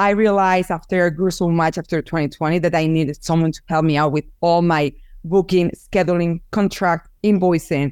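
Over a very clean recording with a silent background, a woman with a Spanish accent speaks at a moderate pace with hardly any pauses, using a fairly low pitch and fairly even intonation. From Spain, Barcelona. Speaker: photographer and business owner. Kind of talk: interview.

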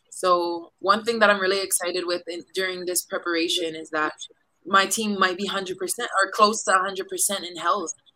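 With a Hawaiian accent, a woman of medium pitch speaks at a moderate pace in a bright, sharp tone, her loudness swinging widely. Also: fairly even intonation. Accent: Hawaiian American English. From Hawaii, east side of Oahu. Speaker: professional volleyball player. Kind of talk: interview. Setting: remote podcast from quarantine hotel room.

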